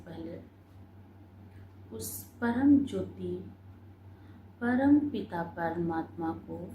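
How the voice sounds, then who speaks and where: Long, frequent pauses and big swings in loudness from a woman with a calm, soothing tone. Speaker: meditation guide. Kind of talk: guided meditation commentary.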